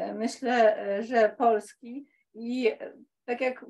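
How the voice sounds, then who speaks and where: Fairly even intonation in a woman's high-pitched voice. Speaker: political scientist and historian; audience member. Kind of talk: audience comment. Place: meeting room.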